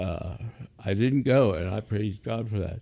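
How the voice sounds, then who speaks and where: A man speaks at a fairly slow pace in a fairly low, dark and mellow voice with vocal fry and lively intonation. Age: 70s. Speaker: aspiring pastor, stroke survivor. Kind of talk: casual interview, faith testimony. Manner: halting, many fillers.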